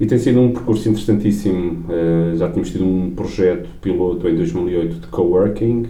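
Noticeable background noise and audible room echo accompany speech delivered at a fairly quick pace. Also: man. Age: 40s. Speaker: business executive. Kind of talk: interview. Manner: halting.

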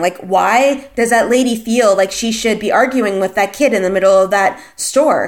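Speaking at a moderate pace, a woman uses a normal speaking voice with ordinary pitch variation. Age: 30s. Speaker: podcast host. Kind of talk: solo podcast monologue. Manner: casual with many fillers.

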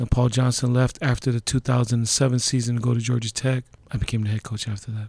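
A somewhat breathy male voice at medium pitch, very fast and monotone, with flat intonation. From Hawaii (North Shore, Laie). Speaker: college football head coach. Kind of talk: interview.

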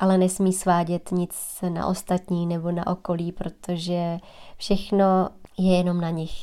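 A woman with a dark, mellow tone and monotone, flat intonation, on a very clean recording with a silent background. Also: fairly low pitch for a woman, fairly slow pace. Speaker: golf coach and podcast host. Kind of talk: solo podcast monologue.

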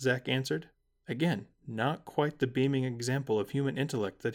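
The delivery is a natural reading voice. The background is quiet.

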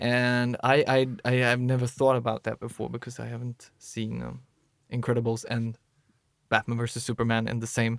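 On a very clean recording with a silent background and a dry, close sound with no echo, a man with a Swedish accent speaks at a medium pitch and moderate pace in a monotone, flat way. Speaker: podcast co-host. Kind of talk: casual chat.

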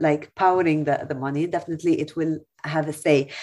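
A woman with an Arabic accent speaks at a moderate pace. Her pitch is very deep and low, with monotone, flat intonation. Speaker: TV journalist. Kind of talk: webinar panel discussion. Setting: video call.

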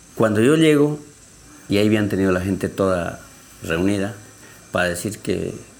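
Speech at a fairly slow pace carries audible room echo. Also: man. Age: 60s. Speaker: community leader. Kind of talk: testimony.

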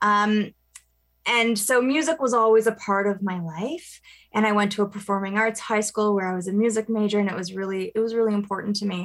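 A woman with a medium pitch talks at a fairly quick pace. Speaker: cantor. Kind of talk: radio interview. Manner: animated.

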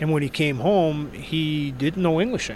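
Speaking with a New York accent, a man has a fairly high pitch and ordinary pitch variation. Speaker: sports writer, author. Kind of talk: interview. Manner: halting, repeats words.

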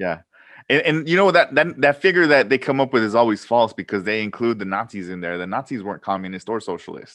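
A man talks at a very fast pace and a medium pitch, with very wide pitch swings. The background is quiet. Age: 40s. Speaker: professor. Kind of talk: casual chat. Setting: video call. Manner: halting.

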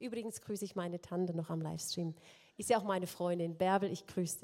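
A woman with a dark, mellow tone speaks at a fairly quick pace with fairly even intonation. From eastern Germany (former GDR). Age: 50s. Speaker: singer giving testimony. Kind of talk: testimony. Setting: stage with audience.

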